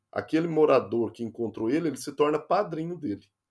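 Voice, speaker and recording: A man with a normal speaking voice talks at a moderate pace, his pitch fairly high and his intonation lively. The recording is very clean, with a silent background. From interior of Minas Gerais, Brazil. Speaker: nurse. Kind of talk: interview.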